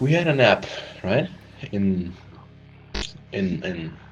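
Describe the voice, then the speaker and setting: A man with a fairly low pitch talks while music plays behind him. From Germany. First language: German. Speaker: gaming YouTuber. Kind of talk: casual storytelling. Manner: halting.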